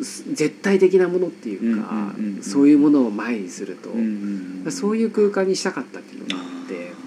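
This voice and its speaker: A man speaks at a fairly quick pace and a medium pitch, with very wide pitch swings, big swings in loudness, hardly any pauses and noticeable background noise. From Nagasaki, Japan. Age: 30s. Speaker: photographer. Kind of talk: casual interview chat. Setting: home studio in an old house.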